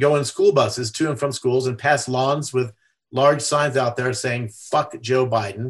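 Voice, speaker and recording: Speaking with an American accent, a man has a somewhat breathy voice at a medium pitch. He talks at a fairly slow pace with fairly even intonation. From USA. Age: 60s. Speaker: activist, religious freedom advocate. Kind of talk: podcast interview. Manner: halting, many fillers.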